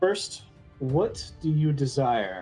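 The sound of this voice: In a put-on character voice at a low-to-middle pitch, the speaker talks over faint background music.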